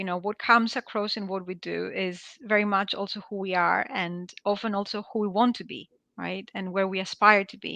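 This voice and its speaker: A woman's bright, sharp tone at medium pitch. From Greece. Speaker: product management executive. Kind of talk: webinar interview.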